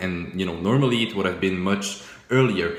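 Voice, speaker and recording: With a French accent and a fairly low pitch, a man talks at a fairly quick pace with ordinary pitch variation, while audible room echo and noticeable background noise fill the recording. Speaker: forex trading YouTuber. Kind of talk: casual video commentary reviewing old trades. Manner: casual, many fillers and repetitions.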